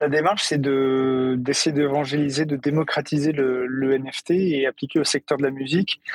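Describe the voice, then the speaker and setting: Recorded in a dry, close sound with no echo, a man with an ordinary speaking voice and a fairly high pitch talks at a moderate pace with fairly even intonation, very even loudness and hardly any pauses. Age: 40s. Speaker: music tech startup CEO. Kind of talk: interview.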